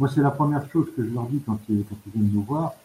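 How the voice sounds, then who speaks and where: The man's somewhat breathy voice has a dark, mellow tone and ordinary pitch variation. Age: 60s. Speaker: charity volunteer, retired banker. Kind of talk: radio interview. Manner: halting, with many hesitations.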